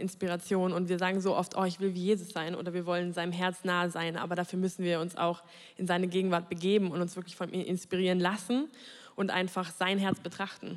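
Her intonation monotone and flat, a woman talks at a very fast pace. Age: 20s. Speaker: graphic designer. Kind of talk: testimony.

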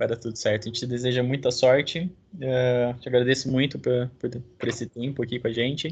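Somewhat breathy delivery at a fairly quick pace with fairly even intonation. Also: man, medium pitch for a man. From Brazil, interior of São Paulo state. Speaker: podcast host. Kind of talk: casual interview.

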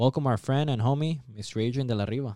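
With an American accent, a man talks at a very fast pace in a dark, mellow tone with fairly even intonation, the sound dry and close with no echo on a very clean recording over a silent background. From Santa Ana, California. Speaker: podcast host. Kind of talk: casual interview.

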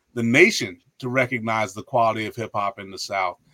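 A man talks at a moderate pace with a medium pitch and a bright, sharp tone. The sound is dry and close, with no echo. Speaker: history professor and author. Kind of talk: casual interview. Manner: animated.

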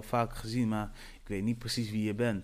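Here a man talks at a moderate pace. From Netherlands, Antillean roots. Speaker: radio presenter and event host. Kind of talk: solo podcast monologue. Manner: animated.

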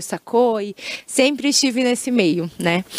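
A woman at a very slow pace, dry and close with no echo, over noticeable background noise. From Brazil, Maringá (Paraná). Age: 20s. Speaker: singer and singing teacher. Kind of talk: casual interview.

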